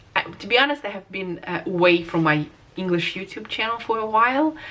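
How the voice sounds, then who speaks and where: A woman with a Russian accent talks at medium pitch and a moderate pace with lively intonation. Noticeable background noise can be heard. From Russia, Moscow. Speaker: vlogger. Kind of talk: casual vlog monologue. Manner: hesitant, many fillers.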